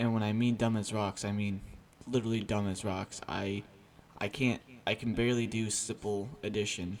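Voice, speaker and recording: Monotone, flat intonation marks a man speaking at a fairly low pitch. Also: moderate pace. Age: 20s. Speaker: vlogger. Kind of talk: personal confession vlog. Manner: halting, with pauses and filler words.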